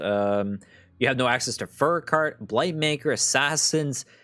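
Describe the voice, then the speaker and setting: A man's lively intonation rises and falls while music plays in the background. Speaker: gaming content creator. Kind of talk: card game review commentary. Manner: casual with many fillers.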